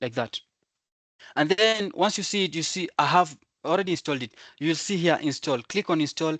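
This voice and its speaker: A man with a high pitch speaks fairly quickly yet with long, frequent pauses, his pitch varying in the usual way, the sound dry and close with no echo over a quiet background. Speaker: software engineer teaching coding. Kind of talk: tutorial. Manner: fast.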